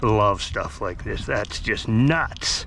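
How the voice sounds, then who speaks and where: A man with a fairly low pitch speaks at a fairly slow pace, the sound dry with no echo and noticeable background noise behind him. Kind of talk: casual vlog commentary. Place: waterside. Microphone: phone near.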